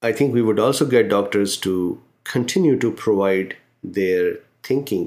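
Very slowly, a man delivers his words. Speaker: physician and medical educator. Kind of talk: interview conversation. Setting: video call. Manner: formal.

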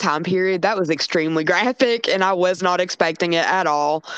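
Animated in tone, a woman talks at a moderate pace and medium pitch amid noticeable background noise. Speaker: podcast co-host. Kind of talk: casual chat.

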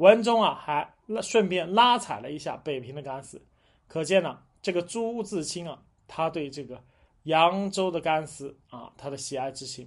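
A plain, everyday voice moves at a moderate pace with lively intonation. Loudness swings widely against a quiet background. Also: man, fairly high pitch for a man. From China, Jiangsu (Huai'an). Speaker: history and food podcast host. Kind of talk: solo monologue talk. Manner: conversational with many fillers.

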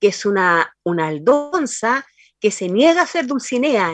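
A woman talks at a fairly slow pace in a dry, close recording with no echo. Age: 60s. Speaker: poet. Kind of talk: interview. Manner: halting.

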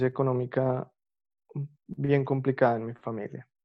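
A man's medium-pitched voice in a flat, monotone delivery. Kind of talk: interview testimony. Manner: halting, many repetitions.

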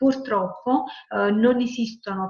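A woman with a Campanian accent, amid noticeable background noise. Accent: Campanian Italian. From Salerno, Campania, Italy. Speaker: environmental engineer and sustainable tourism auditor. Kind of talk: webinar talk answering questions. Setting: video call.

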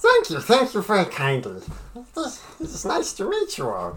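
A put-on character voice is delivered at a moderate pace. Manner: polite, eager, slightly nervous.

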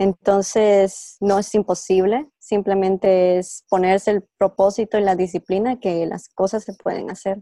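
A woman's dark, mellow tone at a medium pitch, flat and monotone, at a fairly slow pace with hardly any pauses, in a dry, close sound with no echo. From Guatemala. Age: 20s. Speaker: cancer researcher. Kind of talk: interview. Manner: halting.

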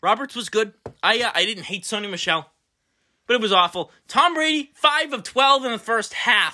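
An animated man with an American accent uses a raised, projected voice at an extremely high pitch. His intonation is lively and his pace moderate. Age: 20s. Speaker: sports podcast host. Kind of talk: casual sports chat.

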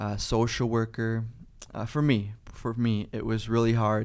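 In a very clean recording with a silent background, the speaker has a Cleveland accent. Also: man. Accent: Midwestern American (Cleveland area). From Ohio, Parma near Cleveland. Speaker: climbing gym owner, former social worker. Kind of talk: casual interview.

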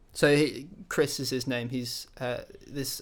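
Monotone, flat intonation in a British accent. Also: man. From France (English father, German mother). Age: 20s. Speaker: worship leader, church intern. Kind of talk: casual interview. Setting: remote call.

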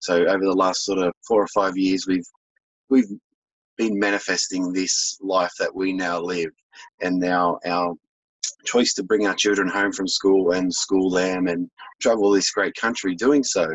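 A man with an Australian accent, very deep and low in pitch, fairly slow and fairly even in intonation. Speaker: holistic health business owner. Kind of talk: interview.

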